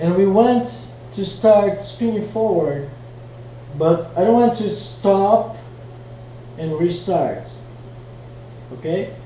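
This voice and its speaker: A high-pitched man with a non-native accent speaks at a very slow pace with long, frequent pauses and very wide pitch swings, amid noticeable background noise and audible room echo. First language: not English. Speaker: flow arts hobbyist teaching tricks. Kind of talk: tutorial. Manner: casual, hesitant with fillers. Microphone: poor quality mic.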